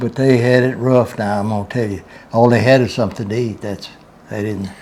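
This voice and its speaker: With a Southern US accent, a man talks fairly quickly at a medium pitch and with fairly even intonation. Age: 90s. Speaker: grandfather telling Depression memories. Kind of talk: interview.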